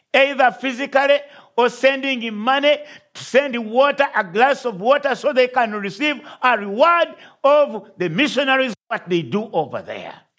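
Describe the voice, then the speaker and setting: The tone is bright and sharp, with ordinary pitch variation, a non-native accent and a moderate pace. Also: man, extremely high pitch for a man. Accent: foreign accent, noticeable. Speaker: visiting pastor and missionary. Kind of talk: sermon. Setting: church.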